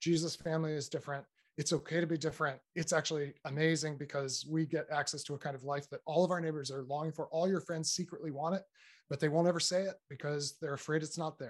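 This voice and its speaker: Over a quiet background, a man talks very fast at a fairly high pitch with fairly even intonation. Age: 50s. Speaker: author and speaker on faith and technology. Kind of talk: casual interview conversation.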